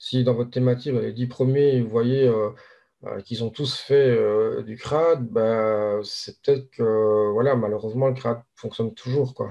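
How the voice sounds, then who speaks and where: A man with a slight Belgian accent speaks at a fairly slow pace. His intonation stays fairly even. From Belgium. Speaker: SEO link seller. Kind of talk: casual interview chat. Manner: hesitant, many fillers.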